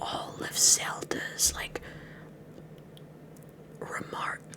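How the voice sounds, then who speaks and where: Whispering from a woman, with noticeable background noise. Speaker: VTuber. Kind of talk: ASMR girlfriend roleplay, improvised rant. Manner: casual, ranting, animated.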